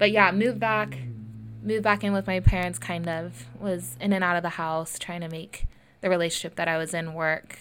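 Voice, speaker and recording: In a very clean recording with a silent background, a woman with a fairly low pitch speaks at a moderate pace with lively intonation. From US West Coast (Lincoln, California). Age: 20s. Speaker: podcast host. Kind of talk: solo personal monologue. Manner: casual, frequent fillers and laughs.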